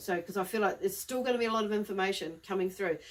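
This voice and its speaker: Her medium-pitched voice, a woman's, keeps a fairly even intonation. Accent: New Zealand. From New Zealand. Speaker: psychic medium. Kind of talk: live tarot-style reading monologue. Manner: fast; casual, rambling with fillers.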